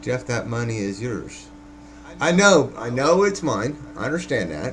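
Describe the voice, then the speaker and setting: Speaking at a fairly slow pace with long, frequent pauses, a man with a medium pitch makes very wide pitch swings amid audible room echo and noticeable background noise. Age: 50s. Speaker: vlogger, former house framer. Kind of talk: casual monologue. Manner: halting.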